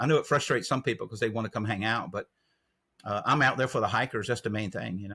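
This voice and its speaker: A man with a Southern US accent talks at a very fast pace. His tone is bright and sharp, with ordinary pitch variation. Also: medium pitch for a man, dry, close sound with no echo. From North Carolina. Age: 60s. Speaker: trail angel. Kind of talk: interview.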